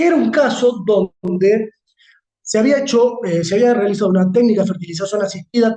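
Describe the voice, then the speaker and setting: With a dark, mellow tone, a man speaks at a high pitch with ordinary pitch variation. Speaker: law lecturer. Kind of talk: lecture. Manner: fast.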